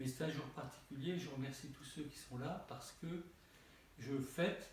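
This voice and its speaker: A man with a fairly high pitch speaks at a fairly slow pace, somewhat breathy, with ordinary pitch variation and audible room echo. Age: 70s. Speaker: Orthodox bishop. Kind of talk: sermon. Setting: church. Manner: halting.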